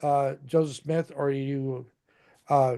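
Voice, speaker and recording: In a fairly high voice with a dark, mellow tone, a man speaks with monotone, flat intonation. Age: old. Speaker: livestream discussion host. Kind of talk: casual chat. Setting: live stream.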